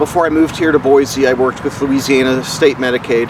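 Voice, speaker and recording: Over noticeable background noise, a man speaks fairly quickly in a monotone, flat delivery at a medium pitch. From New Orleans, Louisiana. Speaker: person experiencing homelessness. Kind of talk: interview answer.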